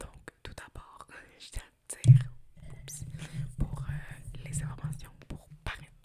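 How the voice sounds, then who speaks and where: Long, frequent pauses break up a whisper that proceeds at a very slow pace. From Montreal, Quebec. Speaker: ASMR creator. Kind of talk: ASMR roleplay with rambling talk to camera. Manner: whispered.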